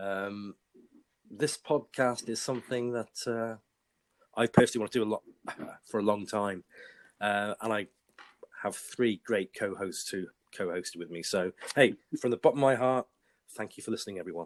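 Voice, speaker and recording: With a British accent and a fairly low pitch, a man speaks at a moderate pace with long, frequent pauses, in a dry, close sound with no echo. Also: ordinary pitch variation. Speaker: podcast host.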